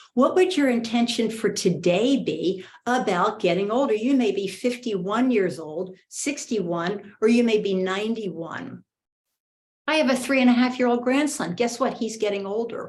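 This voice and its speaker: A woman's fairly high, somewhat breathy voice carries lively intonation. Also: moderate pace. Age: 60s. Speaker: motivational speaker and coach. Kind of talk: motivational talk. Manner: animated.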